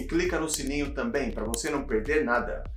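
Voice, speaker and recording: There is music in the background and audible room echo. A man speaks at a moderate pace. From Brazil, São Paulo city. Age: 30s. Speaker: cycling YouTuber. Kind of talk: casual vlog storytelling.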